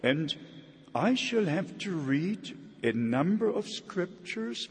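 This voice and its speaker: With a German accent, a man talks at a very slow pace, his pitch swinging very widely. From Germany. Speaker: traveling preacher. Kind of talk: sermon. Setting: church.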